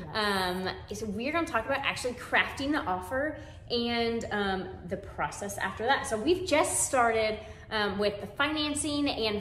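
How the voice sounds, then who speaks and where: A woman's fairly high voice with an American accent, fairly slow delivery, audible room echo and light background noise. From San Antonio, Texas; Texas. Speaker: real estate agent. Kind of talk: webinar presentation. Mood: warm, friendly. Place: home room.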